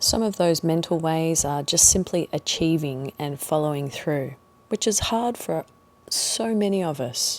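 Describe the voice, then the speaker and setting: A woman speaks in a normal speaking voice at a fairly low pitch. Her intonation is lively. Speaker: meditation guide. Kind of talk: guided meditation. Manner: calm, slow.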